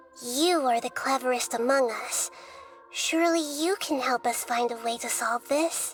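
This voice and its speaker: Clear music plays in the background as a woman does a cartoonish character voice with a high pitch at a moderate pace. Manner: earnest, trusting.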